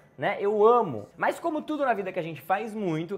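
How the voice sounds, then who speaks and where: The delivery is animated and fairly quick. The intonation is lively. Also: man. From Brazil, interior of São Paulo state (Campinas). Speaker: travel youtuber. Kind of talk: casual Q&A vlog. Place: home room.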